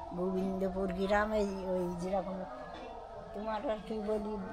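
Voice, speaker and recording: There is noticeable background noise. A woman speaks at a medium pitch with fairly even intonation. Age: 80s+. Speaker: village widow. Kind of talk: interview answer.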